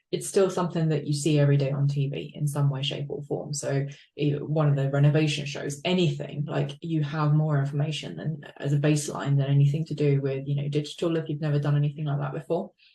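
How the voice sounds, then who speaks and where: Speaking very fast in an English accent, a woman with a very deep, low pitch and a dark, mellow tone sounds somewhat breathy, with fairly even intonation. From UK, from age eight. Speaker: interview host. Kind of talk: interview.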